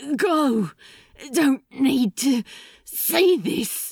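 In a put-on character voice, a female-sounding speaker talks at a high pitch for a woman. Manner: panting through clenched teeth.

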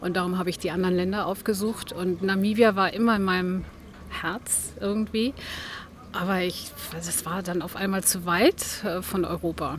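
Speaking at a moderate pace and medium pitch, the woman has a normal speaking voice and fairly even intonation. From Germany, Berlin. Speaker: artist, studio owner. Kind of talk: interview.

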